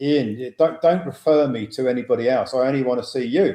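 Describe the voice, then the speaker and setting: A man speaks at a moderate pace and medium pitch. His pitch varies in an ordinary way. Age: 60s. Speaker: financial educator, former wealth manager. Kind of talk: webinar talk. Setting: online webinar. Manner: halting, many fillers.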